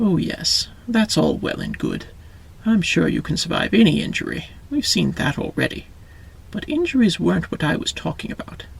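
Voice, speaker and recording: A man performs a put-on character voice, cackling as he goes. He keeps a moderate pace over light background noise. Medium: read story. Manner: folksy, affectionate, cackling.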